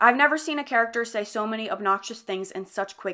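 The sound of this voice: An unforced reading voice carries the recording.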